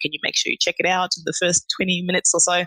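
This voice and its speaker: Speaking at a very fast pace with an Australian accent, a woman's bright, sharp tone comes through in a dry, close sound with no echo. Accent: Australian-tinged. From Zimbabwe. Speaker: chemical engineer. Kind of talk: casual interview.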